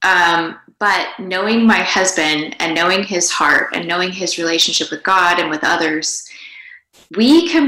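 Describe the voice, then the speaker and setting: A woman of medium pitch speaks at a moderate pace with audible room echo. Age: 40s. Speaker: podcast co-host, mother. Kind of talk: casual chat. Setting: video call from home.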